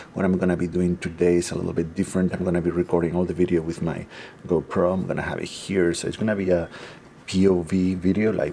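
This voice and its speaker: Against noticeable background noise, a man talks at a fairly quick pace in a very deep, low pitch. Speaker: photography vlogger. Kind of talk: casual vlog. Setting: indoors at a rental home. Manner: hesitant, many fillers.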